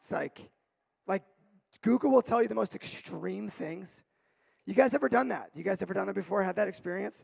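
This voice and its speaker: A man talks loudly and at a fairly quick pace with an energetic tone and long, frequent pauses, the sound dry and close with no echo. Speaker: youth pastor. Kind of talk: sermon. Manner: loud, energetic.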